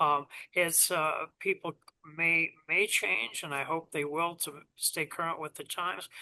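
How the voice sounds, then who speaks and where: The tone is bright and sharp, with fairly even intonation and a dry, close sound with no echo. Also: man. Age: 70s. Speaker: guitar company founder. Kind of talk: casual chat. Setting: video call. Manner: halting.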